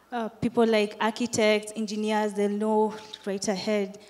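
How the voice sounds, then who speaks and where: Medium in pitch, a woman's voice comes through over noticeable background noise. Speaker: student audience member. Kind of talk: audience question at conference panel.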